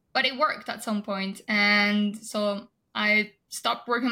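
A woman's fairly high-pitched voice, bright and sharp in tone. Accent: French. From France. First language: French. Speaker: health and wellness guest. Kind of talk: interview.

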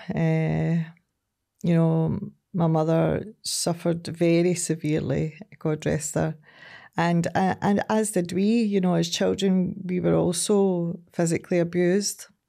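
A woman talks in a west of Scotland accent at a fairly slow pace with very even loudness. The recording is very clean, with a silent background. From Scotland, Ayrshire (Ardrossan, Saltcoats). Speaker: recovery charity chief executive. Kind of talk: casual interview.

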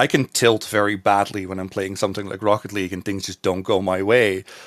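In a Dutch accent, a man talks at a very fast pace on a very clean recording with a silent background. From Netherlands. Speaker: streamer and caster. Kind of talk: casual interview.

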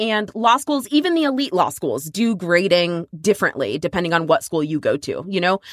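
A woman's medium-pitched voice with very wide pitch swings and an American accent, in a dry, close sound with no echo. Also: moderate pace, hardly any pauses. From Texas. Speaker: podcast co-host, lawyer. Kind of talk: casual chat.

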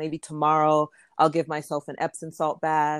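Speaking at a moderate pace with an American accent, the voice sounds dry and close with no echo, recorded very cleanly against a silent background. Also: woman. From Florida, US, Jamaican parents. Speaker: fashion entrepreneur. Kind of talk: interview.

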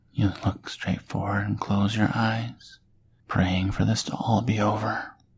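Reading aloud in a natural voice, the intonation fairly even throughout.

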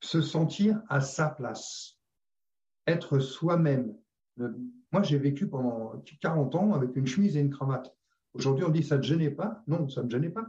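At a fairly slow pace, a man with a fairly high pitch speaks in a dark, mellow tone that is somewhat breathy, with ordinary pitch variation. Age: 60s. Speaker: former sales director. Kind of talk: casual chat. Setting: video call.

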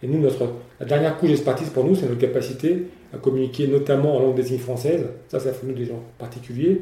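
Audible room echo surrounds a man whose dark, mellow voice is somewhat breathy and fairly even in intonation. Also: medium pitch for a man. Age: 50s. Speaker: entrepreneur. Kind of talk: interview. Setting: company offices. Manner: halting, frequent repetitions.

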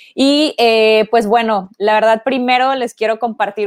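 A woman talks in an ordinary speaking voice. Her intonation is fairly even, and her pace is fairly slow. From Mexico, Ciudad Victoria (Tamaulipas). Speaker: sports marketing agency co-founder. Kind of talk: online talk / interview. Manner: casual, many filler words.

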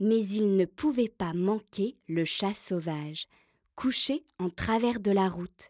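The background stays quiet. A natural reading voice carries ordinary pitch variation.

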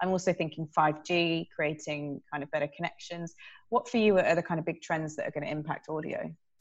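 The background is quiet as a woman with a normal speaking voice talks at a fairly quick pace. Her pitch is fairly low and her intonation fairly even. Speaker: podcast host and journalist. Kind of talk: moderated panel discussion.

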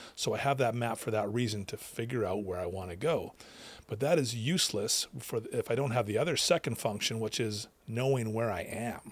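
With a Canadian accent and a plain, everyday voice, a man speaks at a fairly quick pace and medium pitch, with ordinary pitch variation. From Western Canada (British Columbia). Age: 40s. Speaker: addiction recovery coach and counsellor. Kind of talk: casual interview.

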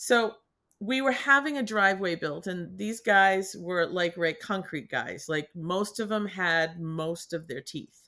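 Bright, sharp and animated, a woman's upbeat voice at a medium pitch moves at a fairly slow pace with an American accent. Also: lively intonation. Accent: Boston, slight, r-dropping when comfortable. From New England. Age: 60s. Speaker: artist and healer. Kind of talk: casual interview conversation. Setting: video call podcast with painting behind her. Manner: animated, upbeat.

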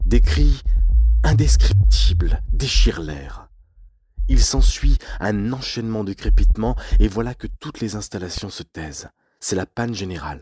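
In a solemn, dramatic tone, a man speaks at a fairly slow pace with vocal fry, very wide pitch swings and long, frequent pauses. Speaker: podcast narrator. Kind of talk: true-crime style scripted narration of a historical industrial disaster. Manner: solemn, dramatic, measured storytelling with grave tone.

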